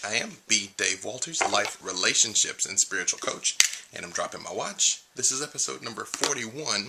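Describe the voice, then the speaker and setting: A man's fairly quick speech over noticeable background noise. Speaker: life and spiritual coach. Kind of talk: video blog talk to camera. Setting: home recording late at night. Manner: quiet, held down to not wake others; usually loud.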